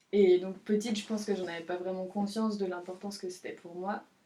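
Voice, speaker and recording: A woman speaks at a fairly quick pace at a medium pitch. Her intonation is monotone and flat, with noticeable background noise behind her. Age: 20s. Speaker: student, podcast guest. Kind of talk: casual chat. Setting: in the countryside. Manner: halting.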